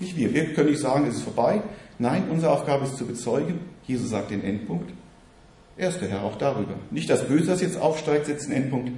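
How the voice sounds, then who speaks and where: Using a plain, everyday voice, a man talks at a fairly quick pace with lively intonation and a fairly high pitch. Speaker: preacher. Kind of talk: sermon, teaching-style preaching to a congregation. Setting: church. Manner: earnest, fairly quick, warm and encouraging.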